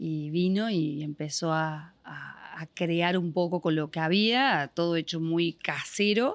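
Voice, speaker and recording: A woman's speech unfolds at a very slow pace, her pitch varying in an ordinary way. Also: fairly low pitch for a woman, hardly any pauses. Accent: Córdoba. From Argentina, Córdoba province (General Cabrera). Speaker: business owner. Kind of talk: podcast interview.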